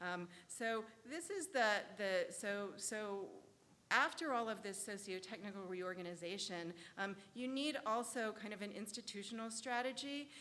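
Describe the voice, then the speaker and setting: A woman's fairly high, bright, sharp voice at a moderate pace, with ordinary pitch variation and audible room echo. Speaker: law scholar, conference panelist. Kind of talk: conference presentation. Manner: hesitant, many fillers.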